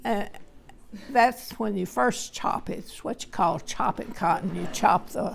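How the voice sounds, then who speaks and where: A woman with a Texan accent talks at a fairly slow pace in a medium pitch, her intonation lively and her loudness swinging widely, with vocal fry throughout. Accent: Texan Southern American. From Texas, USA. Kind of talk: family interview answer. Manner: slow, hesitant.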